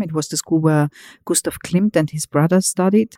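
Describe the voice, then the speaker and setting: In a very clean recording with a silent background and a dry, close sound with no echo, a woman with an Austrian accent speaks in a very deep, low voice, dark and mellow in tone, with ordinary pitch variation. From Vienna, Austria. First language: German. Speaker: museum director. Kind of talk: interview.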